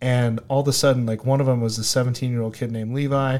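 Speaking very fast, a man uses a medium pitch and fairly even intonation. The recording is very clean, with a silent background. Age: 20s. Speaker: startup CEO and co-founder of e-learning platform for the blind. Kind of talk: casual interview chat.

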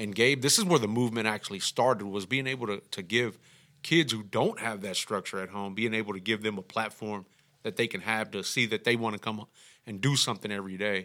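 A man with an American accent and a bright, sharp tone speaks at a fairly low pitch and a fairly quick pace on a very clean recording with a silent background. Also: ordinary pitch variation. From Texas, Houston east side. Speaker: music producer. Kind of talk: casual chat.

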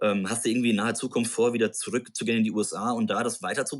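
Against a quiet background, a man speaks in a medium pitch with fairly even intonation. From Germany, Mainz. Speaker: podcast host. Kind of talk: interview.

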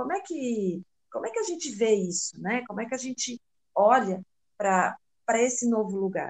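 Delivered at a fairly slow pace with long, frequent pauses, the speech shows very wide pitch swings in a dry, close sound with no echo. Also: woman. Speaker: psychologist. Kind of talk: casual chat.

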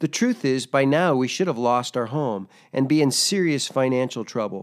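This is a man with a normal speaking voice, medium in pitch, with ordinary pitch variation at a moderate pace. The recording is very clean with a silent background. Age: 60s. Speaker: devotional speaker, military veteran. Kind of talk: scripted devotional reading.

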